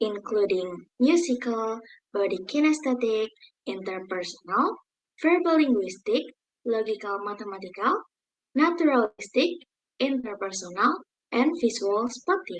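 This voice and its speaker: A woman with an Indonesian accent speaks at a fairly high pitch with very wide pitch swings. She leaves long, frequent pauses. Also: moderate pace, very even loudness. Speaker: university student presenter. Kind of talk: class presentation.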